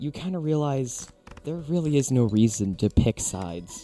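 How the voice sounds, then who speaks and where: With music in the background, a man speaks very slowly using lively intonation. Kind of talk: casual talk to camera. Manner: natural everyday tone, not the softer girly voice.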